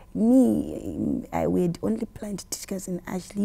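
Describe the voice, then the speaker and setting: In a dark, mellow tone, the speaker talks at a fairly slow pace with a Zimbabwean accent. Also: woman. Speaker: gospel musician. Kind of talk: interview answer.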